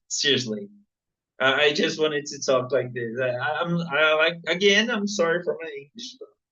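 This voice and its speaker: A man with a Portuguese accent has a fairly high voice. He speaks at a fairly slow pace. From Brazil. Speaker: viewer at a live Q&A. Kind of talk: casual chat. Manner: halting.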